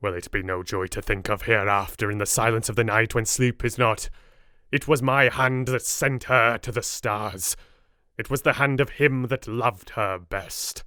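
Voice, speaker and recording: A man performs a put-on character voice at medium pitch. He keeps a moderate pace on a very clean recording with a silent background. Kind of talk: Victorian gothic drama. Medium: read story. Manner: solemn, earnest, paternal.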